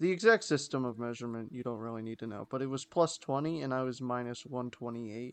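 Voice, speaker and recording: A man talks with an unremarkable speaking voice. His pitch variation is ordinary. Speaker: podcast co-host. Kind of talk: casual chat.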